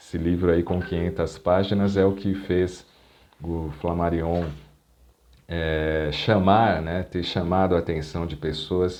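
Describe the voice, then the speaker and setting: Speaking at a fairly slow pace, a man with a very deep, low pitch keeps a monotone, flat intonation in a dark, mellow tone. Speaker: professional radio announcer and lecturer. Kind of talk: educational talk to camera about a historical figure.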